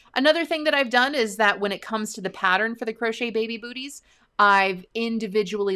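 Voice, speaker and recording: Against a quiet background, a woman talks at a fairly quick pace. Her pitch varies in an ordinary way. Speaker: crochet educator and channel founder. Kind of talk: casual live stream chat. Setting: live stream from home. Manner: friendly, conversational. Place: home room. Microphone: webcam.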